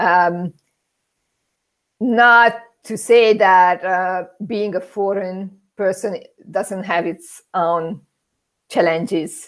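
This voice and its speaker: On a very clean recording with a silent background, a woman with a Hungarian accent speaks very slowly at medium pitch, with fairly even intonation and long, frequent pauses. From Hungary. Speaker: immigrant interviewee. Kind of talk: interview. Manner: halting.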